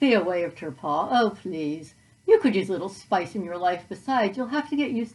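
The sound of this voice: An unforced reading voice with a lively, expressive intonation.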